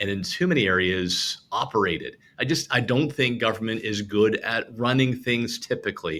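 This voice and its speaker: At a moderate pace and medium pitch, a man speaks in a bright, sharp tone with lively intonation and hardly any pauses, on a very clean recording with a silent background. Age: 50s. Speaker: former provincial party leader, political panelist. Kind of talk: political panel discussion.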